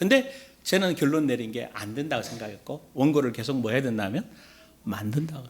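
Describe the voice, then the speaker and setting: Speech at a fairly quick pace with very wide pitch swings comes through audible room echo and noticeable background noise. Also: man. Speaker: pastor. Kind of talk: sermon.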